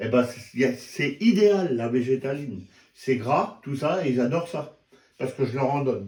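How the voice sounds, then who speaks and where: The man's voice is somewhat breathy, and his intonation is lively. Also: medium pitch for a man, moderate pace. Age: 60s. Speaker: YouTuber. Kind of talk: tutorial. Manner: casual, halting.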